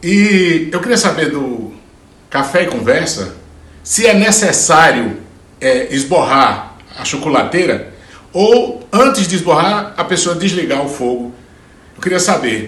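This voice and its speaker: With a Ceará accent, the speaker moves at a fairly slow pace, leaving long, frequent pauses and swinging the pitch very widely, while noticeable background noise and audible room echo fill the recording. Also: man. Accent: northeastern Brazilian Portuguese (Ceará). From Brazil, Ceará backlands (Juazeiro do Norte). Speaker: singer-songwriter. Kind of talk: casual interview answer. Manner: halting, with repetitions.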